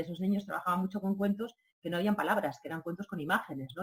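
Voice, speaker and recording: Talking at a very fast pace, a woman uses a somewhat breathy voice at a fairly low pitch. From Catalonia. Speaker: radio program director. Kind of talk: interview. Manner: halting, with many fillers and repetitions.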